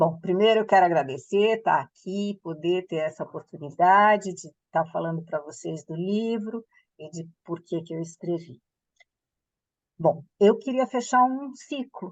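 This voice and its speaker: In a plain, everyday voice, a woman with a medium pitch speaks at a fairly slow pace, her intonation lively and her loudness swinging widely. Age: 60s. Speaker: author and former fashion entrepreneur. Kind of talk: interview.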